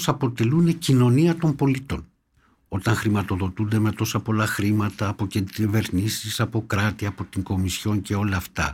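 In a very clean recording with a silent background, a man speaks at a moderate pace, somewhat breathy and with lively intonation. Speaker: former government minister and doctor. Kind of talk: political interview. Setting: studio.

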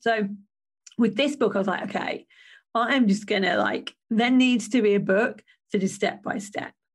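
Against a quiet background, a woman with an English accent speaks at a moderate pace, her voice somewhat breathy and fairly high, with ordinary pitch variation. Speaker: podcast host and business coach. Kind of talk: solo podcast monologue.

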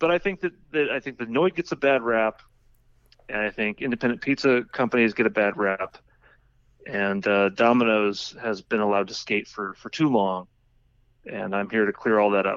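A man with an unremarkable speaking voice and an American accent talks at a moderate pace and medium pitch, with ordinary pitch variation. The sound is dry and close, with no echo. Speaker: cartoonist and podcaster. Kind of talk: casual chat.

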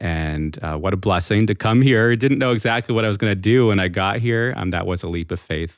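Using a plain, everyday voice, a man with an American accent talks at a fairly quick pace with hardly any pauses. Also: fairly low pitch for a man, ordinary pitch variation, very clean recording, silent background. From Massachusetts, New England. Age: 40s. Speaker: podcast co-host. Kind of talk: interview about personal faith story.

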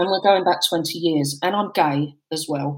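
Speaking at a moderate pace, a woman with a fairly low pitch and ordinary pitch variation has a plain, everyday voice. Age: 50s. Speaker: guest sharing menopause experience, homelessness sector worker. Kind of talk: personal testimony in casual chat.

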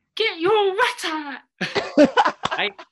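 This is a put-on character voice. It sounds squeaky at an extremely high pitch. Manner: cheeky, loud.

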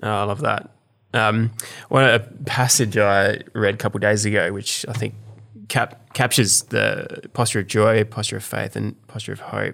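On a very clean recording with a silent background, a man with an Australian accent speaks at a moderate pace. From South Australia. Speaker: podcast host, church leader. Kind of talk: casual chat with prayer.

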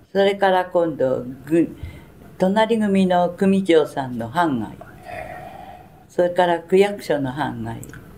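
Lively intonation colors a woman's fairly low voice. She speaks at a very slow pace with long, frequent pauses over noticeable background noise. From Tokyo (Sumida, shitamachi). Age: 90s. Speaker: war survivor. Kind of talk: testimony. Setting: museum.

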